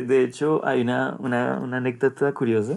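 This man has an unremarkable speaking voice, with medium pitch and fairly even intonation. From Colombia. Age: 30s. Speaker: sales director. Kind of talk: podcast interview.

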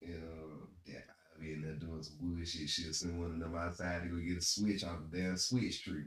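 In a very deep, low pitch, a man speaks at a moderate pace with monotone, flat intonation and a somewhat breathy quality. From US South, South Carolina. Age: 30s. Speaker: podcast co-host. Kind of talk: casual chat.

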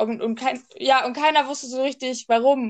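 A woman with a plain, everyday voice talks at a moderate pace. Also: quiet background. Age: 20s. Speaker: podcast co-host. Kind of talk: casual chat.

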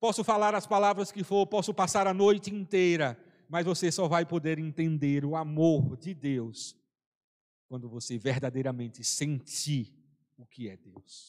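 A man with a normal speaking voice and a fairly high pitch talks at a fairly slow pace, with lively intonation and big swings in loudness. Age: 40s. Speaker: preacher. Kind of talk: sermon. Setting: church service, also streamed online.

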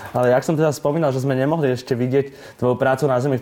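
Delivered at a very fast pace, a man's dark, mellow tone sits at a fairly high pitch. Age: 20s. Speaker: podcast interviewer. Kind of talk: interview.

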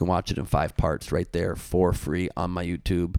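Talking at a fairly quick pace, a man has a very deep, low pitch with vocal fry. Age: 40s. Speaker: comedian. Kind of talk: casual chat.

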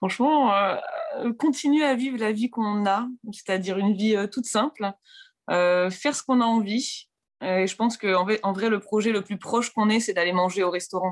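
This woman has a plain, everyday voice at medium pitch with ordinary pitch variation. She talks at a moderate pace over a quiet background. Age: 20s. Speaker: interviewee on love story. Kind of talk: personal storytelling interview.

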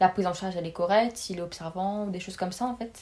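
An unremarkable speaking voice, a woman's, at a medium pitch with fairly even intonation. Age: 20s. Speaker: pharmacy student. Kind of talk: casual interview.

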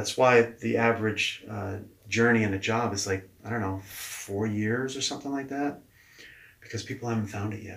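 Here is a man with a normal speaking voice and a medium pitch. His intonation stays fairly even at a moderate pace. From New Hampshire, US. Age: 40s. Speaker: leadership coach. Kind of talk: interview. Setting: in person.

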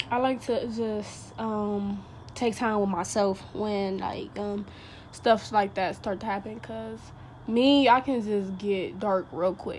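A woman speaks at medium pitch with fairly even intonation. Her pace is very slow. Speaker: podcast host. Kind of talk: casual monologue. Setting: at home by open window.

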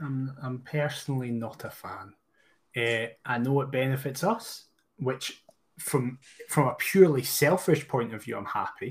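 With a Scottish accent, a man speaks at a fairly slow pace in a medium-pitched, somewhat breathy voice, his loudness swinging widely while his pitch varies in an ordinary way. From Scotland. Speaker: podcast co-host, football fan. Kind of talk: casual chat.

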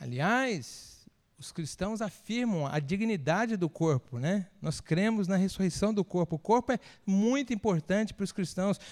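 A man speaks in a high voice with lively intonation, at a fairly slow pace. The sound is dry and close, with no echo. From Espírito Santo, Brazil. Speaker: pastor. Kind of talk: sermon. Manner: conversational, engaging audience.

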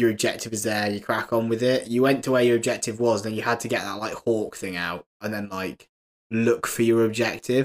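A man's medium-pitched voice with a British accent at a fairly quick pace. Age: 20s. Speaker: podcast co-host. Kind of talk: casual chat.

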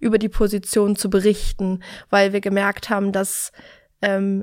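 Her medium-pitched voice stays monotone and flat as this woman speaks in a very clean recording with a silent background. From Berlin, Germany. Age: 30s. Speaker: recruiter. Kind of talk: interview.

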